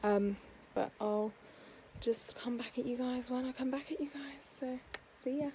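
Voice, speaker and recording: Pausing long and often, a woman with an English accent and a high pitch speaks at a moderate pace with fairly even intonation. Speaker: book vlogger. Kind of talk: casual vlog.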